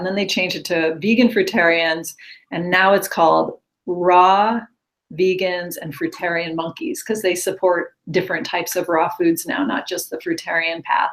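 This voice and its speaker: A plain, everyday voice from a woman with an American accent, medium in pitch, with ordinary pitch variation and a moderate pace. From Upstate New York. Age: 50s. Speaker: Lyme disease patient sharing recovery story. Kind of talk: interview testimony.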